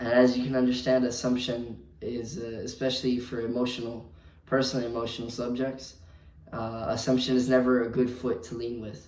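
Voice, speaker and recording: A man at medium pitch speaks with an American accent in a monotone, flat intonation, his loudness swinging widely. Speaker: hotel night clerk. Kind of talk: vlog monologue. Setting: hotel front desk at night. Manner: hesitant, many fillers.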